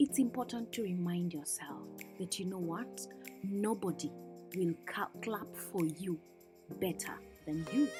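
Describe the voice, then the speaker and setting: Over background music, a woman talks in a calm tone at a fairly slow pace, leaving long, frequent pauses. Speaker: lifestyle vlogger. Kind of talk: voice-over reflection. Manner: calm, soft-spoken.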